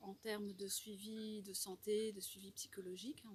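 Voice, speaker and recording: This woman talks at a very slow pace in a fairly high pitch. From Normandy, France. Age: 40s. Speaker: French teacher. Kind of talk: testimonial talk to camera. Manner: hesitant, many fillers.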